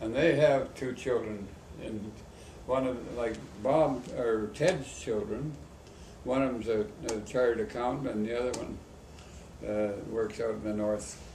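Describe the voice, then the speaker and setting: The speaker has a western Canadian accent and ordinary pitch variation. Long pauses come often, and the room echo is audible. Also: man. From Canada, Medicine Hat, Alberta. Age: 80s+. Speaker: rodeo board member. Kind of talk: interview.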